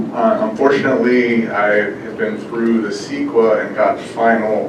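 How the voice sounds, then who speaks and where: Through audible room echo and noticeable background noise, a man with an American accent speaks at a medium pitch with fairly even intonation. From California, Bakersfield. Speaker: farmer. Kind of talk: public comment at meeting.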